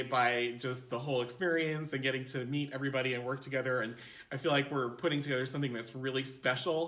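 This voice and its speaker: Against audible room echo, a man with a fairly high pitch and ordinary pitch variation talks at a fairly quick pace in a bright, sharp tone. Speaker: performer. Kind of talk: interview.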